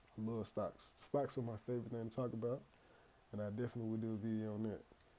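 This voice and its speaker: Here a man speaks at a medium pitch in a dark, mellow tone. His fairly quick delivery is monotone and flat. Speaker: finance YouTuber. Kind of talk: casual tutorial. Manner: occasional stutter; casual, conversational.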